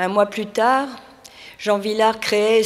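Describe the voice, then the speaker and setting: Very slow speech from a woman at medium pitch, over noticeable background noise. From France, near Vichy. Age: 70s. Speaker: retired French teacher. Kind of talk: personal statement on stage.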